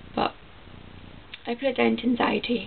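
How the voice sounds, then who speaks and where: A woman talks with a Scottish accent over noticeable background noise. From Scotland. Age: 20s. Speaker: vlogger with chronic illness. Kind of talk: casual vlog monologue. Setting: at home, talking to camera.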